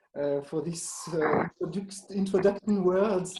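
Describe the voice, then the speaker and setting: Speaking with a French accent, a man keeps his intonation fairly even. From Switzerland, French-speaking. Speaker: museum association director. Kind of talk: Q&A interview. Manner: halting, many fillers and restarts.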